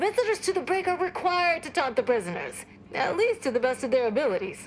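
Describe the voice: A woman performs a robotic, put-on character voice at an extremely high pitch with very wide pitch swings. She speaks at a very fast pace over clear background noise.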